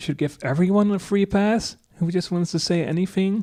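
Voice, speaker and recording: The recording is very clean, with a silent background. A dark, mellow voice speaks at a moderate pace with fairly even intonation. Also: man. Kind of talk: unscripted commentary. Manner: hesitant, stammering.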